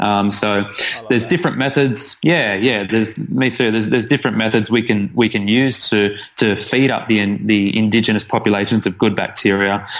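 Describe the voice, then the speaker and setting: Against noticeable background noise, a man with an Australian accent speaks at a fairly quick pace and fairly low pitch, with fairly even intonation and very even loudness. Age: 30s. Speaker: naturopath. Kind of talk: interview.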